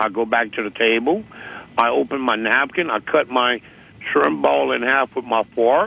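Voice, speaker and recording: A medium-pitched man with an American accent and very wide pitch swings. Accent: Cajun. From US South, Louisiana Cajun. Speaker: interviewee. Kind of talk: phone interview. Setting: phone call. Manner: slow, detailed storytelling.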